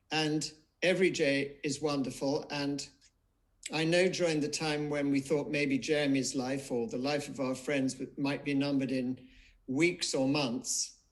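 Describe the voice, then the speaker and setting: An unremarkable speaking voice from a man, fairly high in pitch, fairly slow, with fairly even intonation. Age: 60s. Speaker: memoir author. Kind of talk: live online book event interview.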